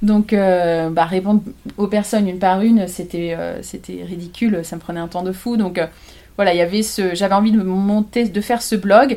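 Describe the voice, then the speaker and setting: Fairly quick in pace, the speech carries a dark, mellow tone. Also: woman. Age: 30s. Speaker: photographer. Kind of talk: casual chat. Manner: halting.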